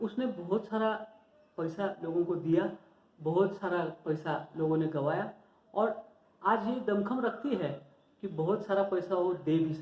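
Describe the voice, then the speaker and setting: This man has a Marathi accent and a high pitch. His pitch variation is ordinary, and he takes long, frequent pauses. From Maharashtra, India. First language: Marathi (speaking Hindi). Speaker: stock market educator, YouTuber. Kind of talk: informal tutorial talk to viewers. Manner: halting, self-correcting.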